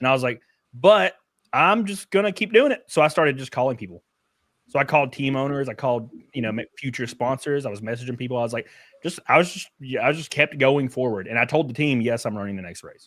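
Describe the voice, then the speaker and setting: Very fast and in a Southern US accent, a man speaks at a medium pitch with lively intonation and big swings in loudness, recorded very cleanly against a silent background. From Alabama, US South. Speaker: race car driver. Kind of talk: casual chat.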